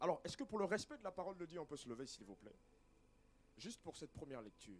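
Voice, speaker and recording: Here a man speaks at a very fast pace. His pitch is high. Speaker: preacher. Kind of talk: sermon.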